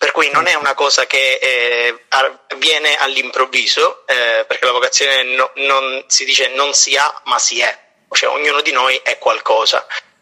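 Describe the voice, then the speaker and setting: The pace of this man is fairly slow. His loudness stays very even. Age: 20s. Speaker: prenovice in a religious order. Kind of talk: casual chat.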